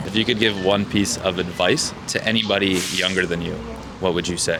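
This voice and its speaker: Over music in the background, a man with a very deep, low pitch talks at a fairly quick pace with fairly even intonation. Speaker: street interviewer. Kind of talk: interview questions.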